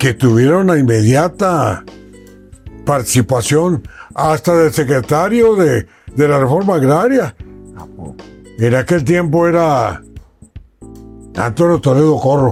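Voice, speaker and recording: Over music in the background, a man speaks at a fairly slow pace and fairly high pitch with lively intonation and long, frequent pauses. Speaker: radio journalist and broadcaster. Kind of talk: interview answer.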